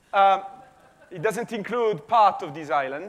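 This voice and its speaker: In a non-native accent, a man speaks at a high pitch. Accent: foreign accent, self-described as weird. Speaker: physics professor. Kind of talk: conference talk. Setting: conference stage with audience. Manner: halting, many fillers and repetitions.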